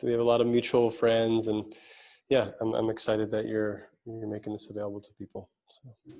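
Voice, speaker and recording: A man with a New York accent, a dark, mellow tone, medium pitch, moderate pace and monotone, flat intonation. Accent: New York American. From US, New York City. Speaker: speaker and mentor. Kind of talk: interview conversation.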